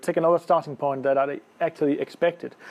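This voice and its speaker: A man with a Danish accent. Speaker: lawyer. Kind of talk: conference presentation. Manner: halting, many fillers.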